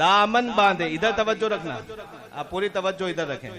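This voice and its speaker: Against noticeable background noise, a man uses a raised, projected voice at a high pitch. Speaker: Islamic scholar explaining devotional poetry. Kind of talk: religious lecture explaining verses.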